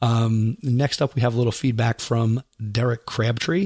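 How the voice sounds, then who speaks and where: At a moderate pace and medium pitch, a man speaks with a somewhat breathy voice and fairly even intonation, in a dry, close sound with no echo. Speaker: podcast host. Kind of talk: podcast monologue.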